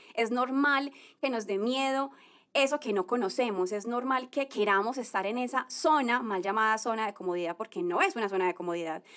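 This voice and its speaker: A woman with a plain, everyday voice speaks at a fairly quick pace and fairly high pitch, with ordinary pitch variation. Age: 30s. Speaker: podcast host, former lawyer. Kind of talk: motivational monologue. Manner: warm, conversational.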